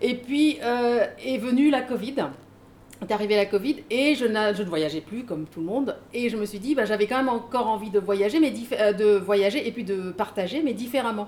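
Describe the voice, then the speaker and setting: A woman speaks in a plain, everyday voice at a fairly high pitch. Her pace is moderate, with ordinary pitch variation. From Mauritius. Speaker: author and trainer. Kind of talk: casual panel talk at a book event.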